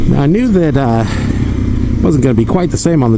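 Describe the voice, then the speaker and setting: A man speaks with lively intonation amid audible room echo and noticeable background noise. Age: middle-aged. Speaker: motorcycle vlogger. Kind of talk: casual ride narration.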